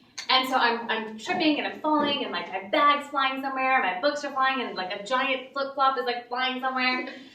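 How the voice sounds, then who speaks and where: A woman with an American accent uses a raised, projected voice, high in pitch with ordinary pitch variation, at a fairly quick pace with hardly any pauses. Audible room echo and noticeable background noise fill the recording. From Pakistan, then Texas and Connecticut. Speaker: open mic storyteller. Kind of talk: storytelling performance. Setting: stage with audience. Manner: casual, with many fillers.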